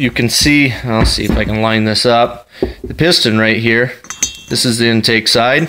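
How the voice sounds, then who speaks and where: Noticeable background noise runs behind a man's voice. He speaks at a moderate pace with fairly even intonation. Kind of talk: tutorial. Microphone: phone near.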